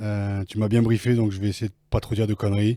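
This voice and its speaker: On a very clean recording with a silent background, a man with a fairly low pitch, a dark, mellow tone and a somewhat breathy voice talks at a fairly quick pace with fairly even intonation. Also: dry, close sound with no echo. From Picardy, northern France. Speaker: former rugby player and author. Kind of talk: interview. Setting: recording room in Paris offices.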